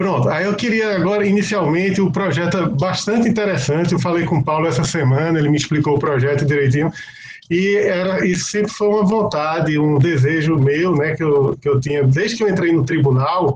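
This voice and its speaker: Amid noticeable background noise and audible room echo, a man talks at a fairly quick pace with a high pitch and very even loudness. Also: ordinary pitch variation. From Brazil, Pernambuco. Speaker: public auditor, court of accounts official. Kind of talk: opening speech at online launch event. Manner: hesitant, filler-heavy.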